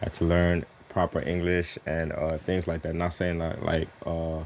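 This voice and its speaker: Over background music, a man with a very deep, low pitch and an American accent speaks at a moderate pace in monotone, flat intonation. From US South, Houston, Texas (Nigerian-born). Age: 30s. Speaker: musician. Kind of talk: interview. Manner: casual.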